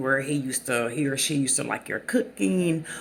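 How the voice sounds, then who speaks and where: A woman with a very deep, low pitch, a Southern US accent, lively intonation and a moderate pace. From US South. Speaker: channel host talking about narcissistic abuse. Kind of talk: casual monologue. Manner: halting, many fillers.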